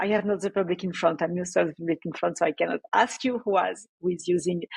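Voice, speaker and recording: A woman with a French accent. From France. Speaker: developer relations engineer. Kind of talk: conference talk. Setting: remote talk without live audience.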